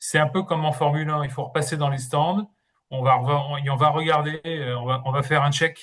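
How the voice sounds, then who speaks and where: Somewhat breathy and fairly high in pitch, a man speaks at a fairly quick pace with fairly even intonation. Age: 60s. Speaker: interim manager and career coach. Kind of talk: webinar presentation. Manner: hesitant, with many fillers and repetitions.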